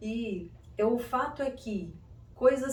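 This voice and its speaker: A woman speaks with fairly even intonation, and audible room echo surrounds her voice. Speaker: psychoanalyst and self-development youtuber. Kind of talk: video monologue. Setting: room without air conditioning.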